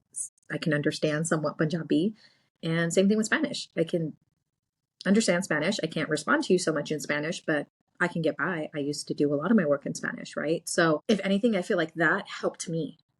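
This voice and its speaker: A woman with an American accent talks at a fairly quick pace in a fairly low, somewhat breathy voice with ordinary pitch variation. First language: Gujarati. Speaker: podcast co-host and real estate agent. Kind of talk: casual chat.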